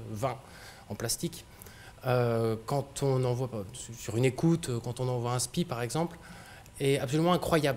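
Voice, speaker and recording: A man speaks at a medium pitch. His pace is moderate and his pitch varies in an ordinary way. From France, Brittany (Brest), later Auvergne. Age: 30s. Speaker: company director, speaker on sail shipping. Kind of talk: public talk. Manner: hesitant, many fillers.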